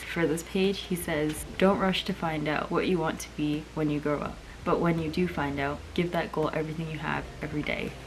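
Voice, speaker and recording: Soft-spoken, a woman talks at a fairly low pitch in a monotone, flat way over noticeable background noise. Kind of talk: casual talk to camera.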